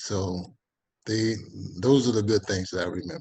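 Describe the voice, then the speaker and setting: In an American accent, a somewhat breathy voice with a dark, mellow tone speaks at a moderate pace. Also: man. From Texas (Texas City), later California. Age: 70s. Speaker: retired basketball player. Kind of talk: interview. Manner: halting, with frequent repetitions.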